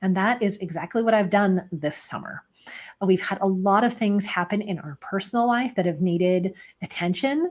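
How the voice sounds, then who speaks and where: On a very clean recording with a silent background, a somewhat breathy woman speaks at a moderate pace with a medium pitch and ordinary pitch variation. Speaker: pet photographer and podcast host. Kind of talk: solo podcast monologue.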